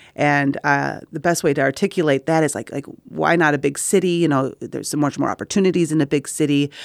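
A woman speaks at a very fast pace with a very deep, low pitch and fairly even intonation, hardly pausing at all. The recording is very clean, with a silent background. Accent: American. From Wisconsin, Middleton. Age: 40s. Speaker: performing arts program director. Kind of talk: casual chat. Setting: studio.

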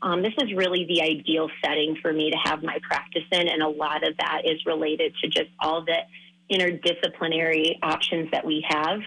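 Over noticeable background noise, a woman with an American accent talks in a monotone, flat intonation at a very even loudness. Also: fairly low pitch for a woman, moderate pace. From Minnesota. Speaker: foot and ankle surgeon. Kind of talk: interview.

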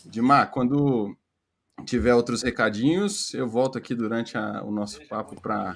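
The man talks at a moderate pace with a normal speaking voice. His pitch is medium, with ordinary variation. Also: very clean recording, silent background. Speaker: live stream technical moderator. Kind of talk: casual announcements.

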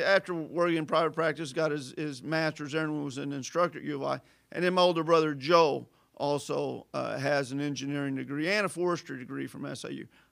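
On a very clean recording with a silent background, a man with a southern Illinois accent talks fairly quickly in a fairly high voice with fairly even intonation. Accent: Midwestern American (southern Illinois). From southern Illinois, Carbondale. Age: 50s. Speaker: local community figure. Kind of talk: casual interview.

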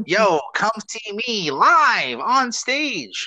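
A man puts on a character voice pitched high. His pitch swings very widely. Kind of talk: hustler promo voice. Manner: loud and salesy.

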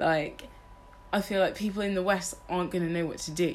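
Noticeable background noise runs under a woman's voice. She speaks at a moderate pace with ordinary pitch variation. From northern England, Liverpool. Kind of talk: casual chat.

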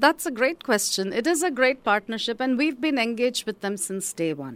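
In a very clean recording with a silent background, a woman speaks at a moderate pace with very wide pitch swings. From India. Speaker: college president. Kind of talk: radio interview.

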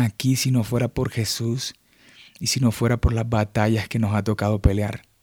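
In a very clean recording with a silent background and a dry, close sound without echo, a man talks at medium pitch with a dark, mellow tone. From Colombian Caribbean coast (Montería). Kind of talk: devotional monologue. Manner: halting, many fillers.

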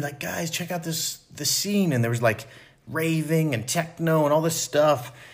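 A somewhat breathy quality marks this voice. Its pace is moderate. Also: man. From US, Philadelphia suburbs. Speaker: music production company co-founder. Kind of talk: interview testimony. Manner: hesitant, many fillers.

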